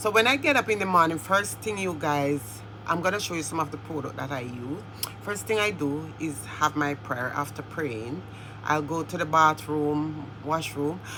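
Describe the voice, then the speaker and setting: Over noticeable background noise, a woman with a very deep, low pitch talks at a moderate pace, her pitch swinging very widely. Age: 60s. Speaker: beauty and lifestyle vlogger. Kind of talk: casual tutorial vlog.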